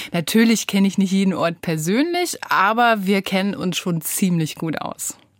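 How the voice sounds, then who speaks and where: Someone with a normal speaking voice talks at a moderate pace. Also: woman, medium pitch for a woman, ordinary pitch variation, hardly any pauses. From northern Germany coast (Rostock). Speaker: meteorologist and radio weather presenter. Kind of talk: casual interview. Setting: radio studio.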